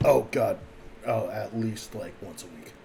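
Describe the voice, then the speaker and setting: Over clear background noise, a man does a raspy, put-on character voice at a moderate pace. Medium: actual play. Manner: blunt, crude.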